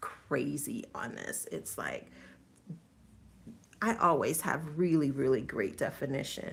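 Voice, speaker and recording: The intonation rises and falls in a lively way, with vocal fry throughout. The pace is fairly slow. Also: woman. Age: 50s. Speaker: natural hair vlogger. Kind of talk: casual talk to camera. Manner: casual, hesitant.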